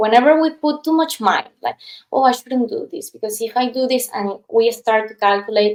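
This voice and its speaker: With a Spanish accent, the speaker goes at a moderate pace with ordinary pitch variation. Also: woman. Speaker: past life regression therapist. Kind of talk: casual interview chat. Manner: animated storytelling.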